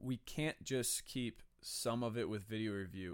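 This is an ordinary speaking voice: a man at medium pitch with an American accent and ordinary pitch variation. The recording is very clean, with a silent background. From US West, Las Vegas. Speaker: sports podcast host. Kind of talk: solo opinion commentary.

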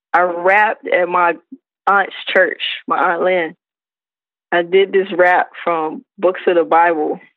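Speaking at a very slow pace with long, frequent pauses, a woman uses a fairly low pitch and fairly even intonation. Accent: American. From South Carolina. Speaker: hip hop artist. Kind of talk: interview.

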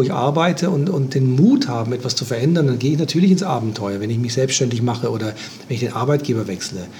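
Noticeable background noise surrounds a man's fairly high voice. He moves at a fairly quick pace with lively intonation. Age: 60s. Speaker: life coach and systemic therapist. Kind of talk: interview.

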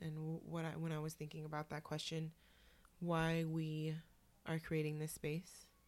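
A woman with a West Coast accent, very deep and low in pitch, at a moderate pace with monotone, flat intonation. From Oakland, California. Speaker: podcast co-host, social worker. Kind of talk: casual chat.

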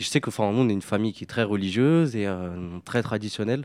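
Speaking at a very fast pace, a man with a fairly low voice shows ordinary pitch variation. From France, Paris suburbs estate of Algerian descent. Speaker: artist, filmmaker and comics author. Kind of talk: interview.

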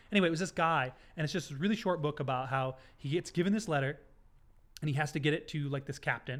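Loud speech comes at a very fast pace with ordinary pitch variation, on a very clean recording with a silent background. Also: man, fairly high pitch for a man. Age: 30s. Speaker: photographer and content creator. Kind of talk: casual chat.

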